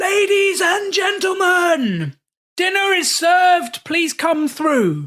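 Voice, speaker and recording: A man puts on a character voice in a British accent, loud and extremely high-pitched, speaking at a very slow pace. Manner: loud, announcing.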